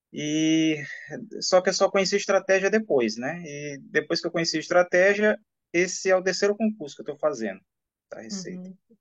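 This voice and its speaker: A high male voice at a moderate pace, with ordinary pitch variation and big swings in loudness. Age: 40s. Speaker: civil servant, exam candidate. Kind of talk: interview. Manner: casual, hesitant fillers.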